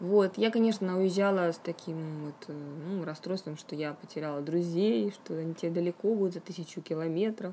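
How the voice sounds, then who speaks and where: Her voice has a dark, mellow tone and a fairly low pitch with ordinary variation. The woman speaks at a moderate pace. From Russia, Yaroslavl. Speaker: fantasy writer. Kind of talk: interview. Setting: studio.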